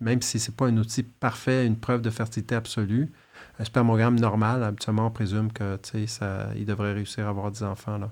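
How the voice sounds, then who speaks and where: A man at a fairly quick pace, medium in pitch, with monotone, flat intonation. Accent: Quebec. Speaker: fertility doctor. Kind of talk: interview. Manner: halting.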